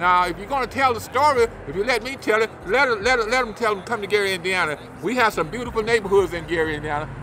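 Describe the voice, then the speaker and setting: A man talks very fast in a raised, projected, high-pitched voice with lively intonation. Noticeable background noise can be heard. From Arkansas. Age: 70s. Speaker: local elected official. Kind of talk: street interview. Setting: outdoors on a city street.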